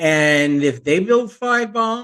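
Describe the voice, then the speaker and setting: A man talks with an American accent. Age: 60s. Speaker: podcast host, retired teacher. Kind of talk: casual monologue.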